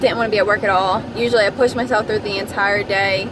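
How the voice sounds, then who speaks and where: A woman speaks with a fairly high pitch. Noticeable background noise runs under her voice. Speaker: vlogger. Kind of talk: casual vlog monologue. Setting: in a car. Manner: loud, projecting.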